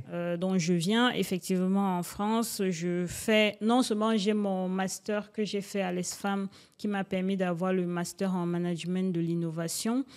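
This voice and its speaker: A woman's voice with fairly even intonation, on a very clean recording with a silent background. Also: medium pitch for a woman, fairly slow pace. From Cameroon. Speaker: entrepreneur. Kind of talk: interview. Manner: hesitant, many fillers.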